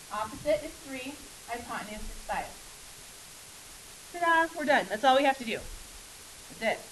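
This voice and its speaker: Over noticeable background noise, a woman speaks at a high pitch with lively intonation, big swings in loudness and long, frequent pauses. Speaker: math teacher. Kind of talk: classroom lecture. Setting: classroom. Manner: fast.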